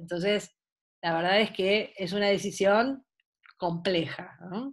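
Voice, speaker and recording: A woman speaks at a very slow pace with a Buenos Aires accent. Her medium pitch shows ordinary variation against a quiet background. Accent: porteño Argentine Spanish. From Buenos Aires, Argentina; Argentina. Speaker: sports psychologist. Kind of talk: online talk. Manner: animated. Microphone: video call.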